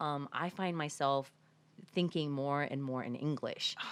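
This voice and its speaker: This woman speaks with a Samoan accent. Her pitch is very deep and low. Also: very clean recording, silent background. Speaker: podcast host. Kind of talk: interview conversation.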